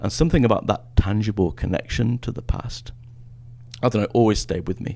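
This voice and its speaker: With an English accent, a man speaks at medium pitch and a fairly quick pace, his tone dark and mellow. Vocal fry runs through his voice, and his pitch varies in an ordinary way. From northern England. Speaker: history professor. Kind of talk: podcast interview. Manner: hesitant, many fillers.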